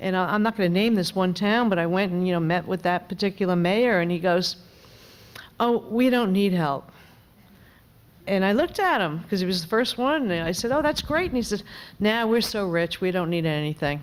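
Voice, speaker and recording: At a fairly quick pace, a woman with a New York accent speaks at a medium pitch, her loudness very even and her pitch variation ordinary. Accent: New York accent, noticeable. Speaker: member of Congress. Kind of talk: panel discussion.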